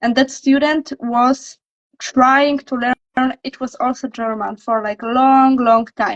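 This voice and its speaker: A woman's high voice in a Polish accent, very slow and monotone with flat intonation. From Poland. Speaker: language coach. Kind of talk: casual chat. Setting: livestream.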